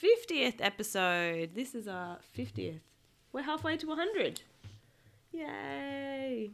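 With an Australian accent, a woman speaks at a very slow pace with long, frequent pauses, a fairly high pitch, very wide pitch swings and big swings in loudness, on a very clean recording with a silent background. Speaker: podcast host and parent. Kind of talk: reading aloud. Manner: animated.

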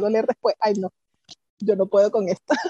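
A woman speaks at a very fast pace. The sound is dry and close, with no echo. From Venezuela, Pariaguán, southern Anzoátegui. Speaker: microbiology professor and researcher. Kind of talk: interview.

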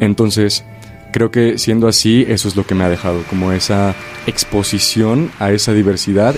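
A man at a fairly low pitch, with noticeable background noise. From Mexico, Chilpancingo, Guerrero. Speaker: stage actor. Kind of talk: radio interview.

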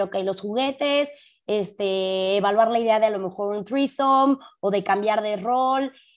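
A woman with a Mexican accent on a very clean recording against a silent background. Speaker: podcast co-host. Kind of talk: casual chat.

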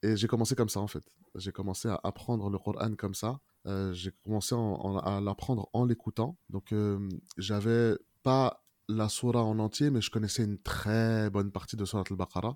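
A man talks at a moderate pace with fairly even intonation and a fairly low pitch. The sound is dry and close, with no echo. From France, Moroccan family. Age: 30s. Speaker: Quran learner. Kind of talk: testimony. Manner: halting, many fillers.

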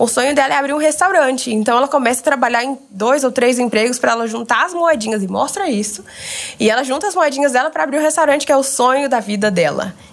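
A woman with a high pitch speaks very fast with lively intonation over noticeable background noise. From Brazil, Goiânia. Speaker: former Disney exchange worker. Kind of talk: casual chat.

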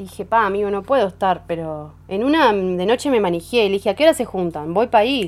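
A woman's lively intonation comes with a very fast delivery. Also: medium pitch for a woman, hardly any pauses. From Uruguay, Neptunia near Montevideo. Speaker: singer-songwriter. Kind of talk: casual interview chat. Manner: halting, many fillers and restarts.

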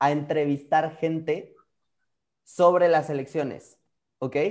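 A man with a Mexican accent speaks in a fairly high pitch with an animated tone. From Mexico. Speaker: photographer. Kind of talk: interview conversation.

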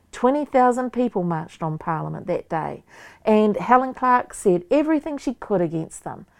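A woman with a New Zealand accent at a fairly high pitch, very wide pitch swings, and a moderate pace, against a quiet background. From New Zealand, Waikato. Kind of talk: interview.

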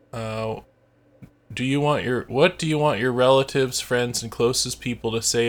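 A man speaks with an American accent at a moderate pace and medium pitch, in a normal speaking voice. The recording is very clean, with a silent background. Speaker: podcast co-host, English practice chat. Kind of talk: casual chat, answering listener questions.

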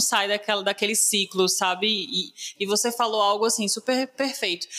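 A woman with a medium-pitched voice speaks at a moderate pace in a monotone, flat delivery over noticeable background noise. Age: 20s. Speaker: podcast host, public relations professional. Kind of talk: interview.

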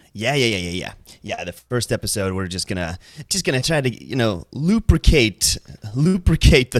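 A man with an American accent speaks at a moderate pace. The sound is dry and close with no echo, a very clean recording with a silent background. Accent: American-sounding English. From Iceland. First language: Icelandic. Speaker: podcast co-host and streamer. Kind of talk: casual chat. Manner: animated.

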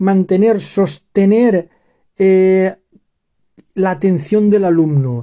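Very slowly and with long, frequent pauses, a man with a high pitch speaks in a dark, mellow tone with ordinary pitch variation. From Spain, Valencian Community. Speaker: Spanish teacher podcaster. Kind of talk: language lesson reading headlines. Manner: slow and clear for learners.

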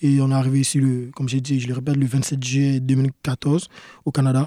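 The sound is dry and close with no echo as a man with a fairly high pitch and a dark, mellow tone speaks in fairly even intonation. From Ivory Coast, then Quebec. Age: young. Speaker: professional soccer player. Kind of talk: interview.

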